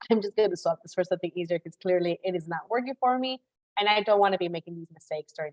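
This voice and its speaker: A woman speaks very fast in a Spanish accent. Her pitch is medium with ordinary variation. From Chicago, US Midwest. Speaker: career coach. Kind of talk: live webinar masterclass. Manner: fast, casual with many fillers.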